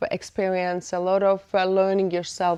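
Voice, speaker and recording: A woman with a non-native accent speaks at a moderate pace in a dark, mellow tone. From Eastern Europe, former Soviet Union. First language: not English. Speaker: podcast host. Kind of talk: podcast interview. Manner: halting.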